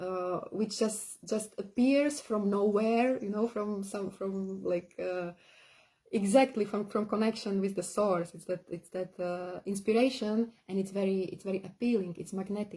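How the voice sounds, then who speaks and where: A woman with a non-native accent speaks at a fairly slow pace, her dark, mellow tone somewhat breathy and her intonation fairly even. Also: medium pitch for a woman. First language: not English. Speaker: spiritual teacher. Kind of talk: live-streamed workshop talk. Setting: live stream. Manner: halting, many fillers.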